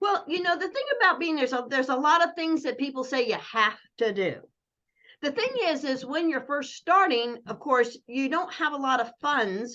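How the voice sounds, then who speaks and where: Raising and projecting her voice, a woman speaks at a moderate pace with a high pitch, a bright, sharp tone and lively intonation. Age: 60s. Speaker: network marketing coach. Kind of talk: casual chat. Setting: video call.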